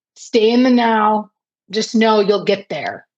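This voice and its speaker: A woman's fairly high-pitched voice with an American accent. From Detroit, Michigan, US. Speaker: business owner. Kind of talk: interview.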